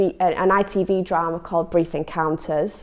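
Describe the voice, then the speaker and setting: In a Leeds accent, a woman speaks at a fairly slow pace and a medium pitch. The recording is very clean, with a silent background. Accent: northern English, Leeds. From northern England, Leeds. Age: 20s. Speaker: actor. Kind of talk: personal testimony to camera. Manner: hesitant, frequent ums.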